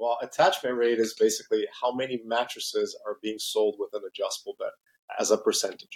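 A man with a slight Brazilian accent talks at a fairly quick pace. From Brazil (São Paulo), raised in Mexico City. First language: Portuguese. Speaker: company president. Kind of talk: interview. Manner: halting with many fillers and repetitions.

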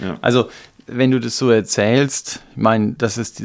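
This very clean recording with a silent background captures a man at medium pitch using a normal speaking voice. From eastern Germany. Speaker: podcast co-host, church member. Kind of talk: casual discussion.

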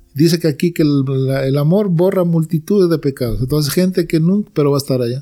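A man speaks very fast in a fairly high pitch, with ordinary pitch variation. His loudness stays very even throughout. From Peru. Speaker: church member giving testimony. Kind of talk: religious conversation.

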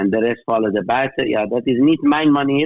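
A man's unremarkable speaking voice, with ordinary pitch variation and a fairly slow pace. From Middle East. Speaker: theologian. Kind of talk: interview. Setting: phone call. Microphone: phone line quality.

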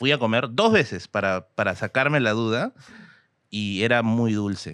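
A man with a Peruvian accent talks at a fairly slow pace and medium pitch against a quiet background, the sound dry and close with no echo. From Peru, Tacna. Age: 30s. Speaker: history content creator. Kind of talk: casual chat.

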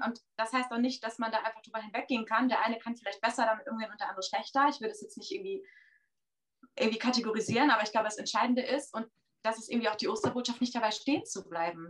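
At a very fast pace, a woman talks at a fairly high pitch with ordinary pitch variation. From Oldenburg, northern Germany. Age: 30s. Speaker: church member guest. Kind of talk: casual discussion. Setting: video chat.

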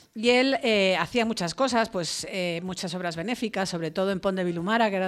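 A woman talks in a normal speaking voice at medium pitch and a fairly quick pace, with ordinary pitch variation. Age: 50s. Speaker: foundation vice-president. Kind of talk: radio interview. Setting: radio studio.

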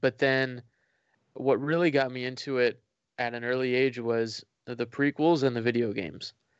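A man in an American accent speaks with a plain, everyday voice, at medium pitch and a moderate pace, keeping his intonation fairly even. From Florida. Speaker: fan content creator. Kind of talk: casual interview.

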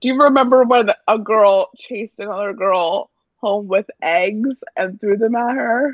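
A woman speaks in an ordinary speaking voice at a fairly slow pace. Her pitch is fairly high, with ordinary variation. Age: 20s. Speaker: friend of the host. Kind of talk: casual chat. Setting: phone call.

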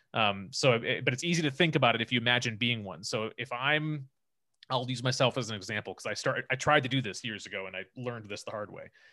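A man at a very fast pace, medium pitch and ordinary pitch variation, with a bright, sharp tone and big swings in loudness, on a very clean recording with a silent background. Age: 30s. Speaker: filmmaker and agency co-founder. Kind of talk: interview. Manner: halting, many fillers.

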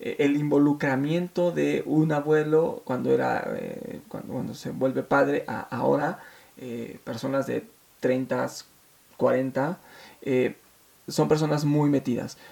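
A man talks at a very slow pace. Noticeable background noise can be heard. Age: 30s. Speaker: podcast host. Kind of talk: personal monologue. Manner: hesitant, many fillers.

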